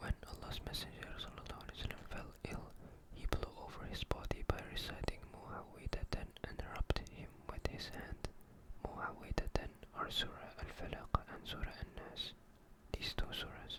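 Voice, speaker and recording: Whispered words come through over noticeable background noise. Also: moderate pace. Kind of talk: soft ASMR reading of religious texts. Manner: soft, calming.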